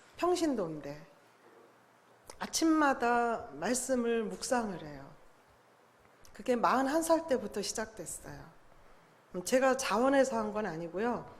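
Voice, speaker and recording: A woman talks fairly slowly at a fairly high pitch, with very wide pitch swings. Audible room echo surrounds her voice. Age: 60s. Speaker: lay Bible study speaker. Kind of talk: church talk to congregation.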